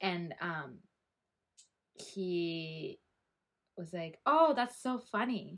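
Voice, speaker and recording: A woman with a Canadian accent at medium pitch, very slow, with long, frequent pauses and very wide pitch swings. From Calgary, Alberta, Canada. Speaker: podcast co-host. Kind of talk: casual chat.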